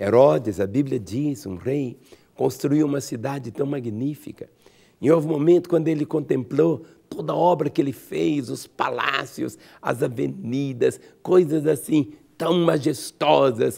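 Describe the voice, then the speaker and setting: At a fairly slow pace, a man with a fairly high pitch speaks in a dark, mellow tone with ordinary pitch variation. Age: 60s. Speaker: pastor. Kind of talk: sermon. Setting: radio program.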